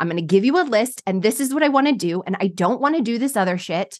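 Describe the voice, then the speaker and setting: At a very fast pace, a woman speaks in a fairly high pitch with lively intonation and an animated tone. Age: 40s. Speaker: podcast host and success coach. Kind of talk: casual interview chat.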